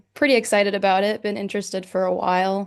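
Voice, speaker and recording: This woman speaks in a Midwestern American accent. Her pitch is medium. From Northwest Indiana. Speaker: student. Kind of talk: casual chat.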